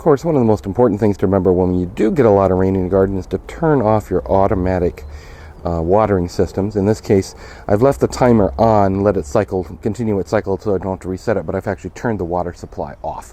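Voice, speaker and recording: Talking at a very fast pace, a man with an American accent has a fairly low pitch and ordinary pitch variation. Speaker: gardener. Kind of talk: casual talk to camera.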